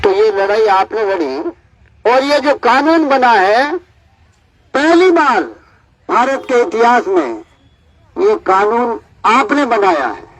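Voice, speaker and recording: Using long, frequent pauses, a man speaks in an extremely high pitch with very wide pitch swings. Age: old. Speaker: activist. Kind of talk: public speech. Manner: animated.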